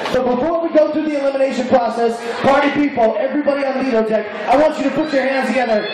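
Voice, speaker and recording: A man talks loudly at a very fast pace in an extremely high pitch, with an animated, playful tone. Strong room echo surrounds him, and crowd noise fills the background. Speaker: cruise ship emcee. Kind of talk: game show host, emceeing a live contest with crowd banter. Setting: outdoors on a ship deck stage with audience. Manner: animated, loud, playful, hyping the crowd and teasing contestants. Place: stage.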